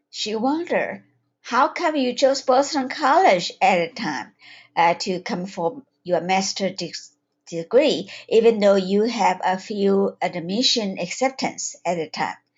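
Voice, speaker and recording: A woman speaks with a Taiwanese accent at a fairly slow pace. Her pitch swings very widely. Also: medium pitch for a woman. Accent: Taiwanese accent in English, noticeable. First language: Chinese. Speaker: holistic health coach and psychiatric nurse. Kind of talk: webinar talk. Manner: halting, with fillers.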